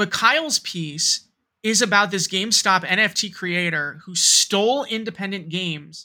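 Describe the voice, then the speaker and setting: Raised and projected, a man's high-pitched voice has a bright, sharp tone, an American accent and ordinary pitch variation. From US Northeast (New York metro area). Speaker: podcast co-host. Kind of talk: casual chat. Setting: remote recording.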